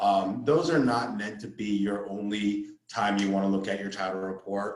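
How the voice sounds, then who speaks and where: This is a man speaking. His voice carries audible room echo. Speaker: title officer giving real estate training. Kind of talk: training presentation. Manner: fast-talking; halting, many fillers and repetitions.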